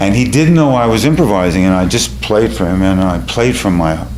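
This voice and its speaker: With a New York accent, a man with a very deep, low pitch talks at a moderate pace in very wide pitch swings, amid noticeable background noise and audible room echo. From New York City (Bronx). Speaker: storyteller and musician. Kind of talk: personal storytelling on stage. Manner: halting, with fillers.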